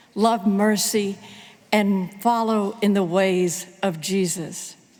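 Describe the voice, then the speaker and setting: Against noticeable background noise, a woman speaks at a very slow pace and a medium pitch. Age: 70s. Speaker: pastor. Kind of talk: sermon. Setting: church.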